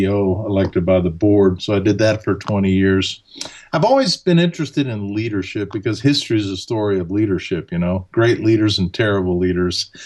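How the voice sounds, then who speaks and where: A man speaks at a fairly quick pace in a fairly low pitch, with ordinary pitch variation and hardly any pauses. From Alabama, US South, German-speaking home. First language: German. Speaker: leadership author and speaker. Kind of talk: podcast interview.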